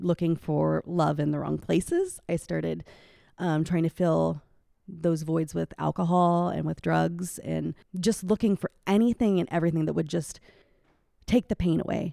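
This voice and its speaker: A woman with a Midwestern US accent speaks at a moderate pace. The sound is dry and close with no echo, in a very clean recording with a silent background. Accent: US Midwest. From Iowa. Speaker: elementary school teacher and church singer. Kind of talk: interview testimony.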